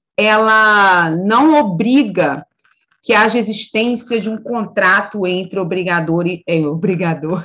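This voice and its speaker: A woman's medium-pitched voice with a bright, sharp tone, very slow pace and ordinary pitch variation. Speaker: law professor.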